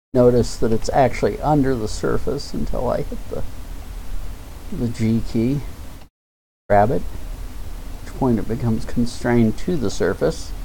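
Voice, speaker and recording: A man speaks at a fairly slow pace with long, frequent pauses and audible room echo. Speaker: live-streamer doing 3D modeling. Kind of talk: live-stream tutorial. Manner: halting, pauses mid-sentence. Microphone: mic sometimes drops quiet speech.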